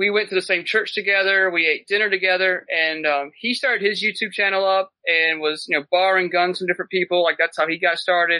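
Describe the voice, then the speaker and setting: A man with a Southern US accent, high in pitch, with fairly even intonation. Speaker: paramedic and medical gear business owner. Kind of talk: casual chat.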